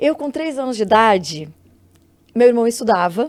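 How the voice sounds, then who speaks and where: A woman speaks with a fairly high-pitched voice. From southern Brazil, Rio Grande do Sul (Santa Maria). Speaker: psychologist and actress. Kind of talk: podcast interview.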